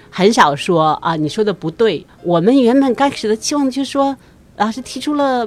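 Her pitch rises and falls across a very wide range. This woman keeps up a fairly quick pace. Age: middle-aged. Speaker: immigrant and community volunteer. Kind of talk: interview.

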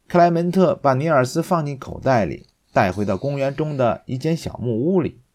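A man's dark, mellow tone at a moderate pace, on a very clean recording with a silent background. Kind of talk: children's story audiobook reading. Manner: animated, expressive storytelling with distinct character voices.

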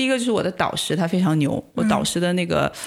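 Her tone animated, a woman talks at a very fast pace. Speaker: postdoctoral researcher. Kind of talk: casual chat.

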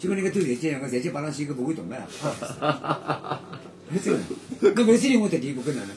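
A man talks at a moderate pace, his pitch swinging very widely, with noticeable background noise around him. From Shanghai, Yangpu district. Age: 70s. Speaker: former footballer and youth football coach. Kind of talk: casual interview. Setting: room in an old lane house.

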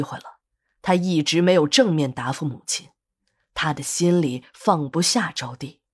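Recorded very cleanly against a silent background, a woman talks at a moderate pace in a fairly low pitch. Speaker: audiobook storyteller. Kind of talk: serialized story narration.

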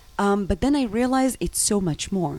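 The speaker has an Israeli accent and ordinary pitch variation. The pace is moderate. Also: woman. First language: Hebrew. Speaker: travel agency founder. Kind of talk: interview.

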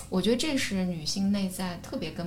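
There is audible room echo around this woman's voice. She speaks at a medium pitch with ordinary pitch variation. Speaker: podcaster and psychology platform founder. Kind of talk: casual chat. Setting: studio.

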